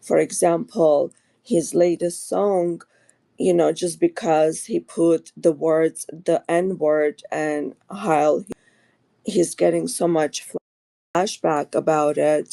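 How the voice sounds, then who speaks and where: In an Armenian accent, a woman with a dark, mellow tone speaks at a very slow pace with fairly even intonation, the sound dry and close with no echo. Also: fairly low pitch for a woman. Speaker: caller. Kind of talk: call-in question. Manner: hesitant, many fillers.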